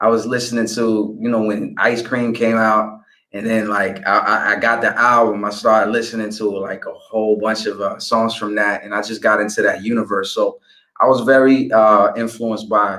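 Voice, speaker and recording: A man with a New York accent, medium pitch and a bright, sharp tone, at a moderate pace with monotone, flat intonation. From DC / Maryland area, US, raised by family of African background. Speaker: rapper. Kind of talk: interview. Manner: hesitant, many fillers and repeated words.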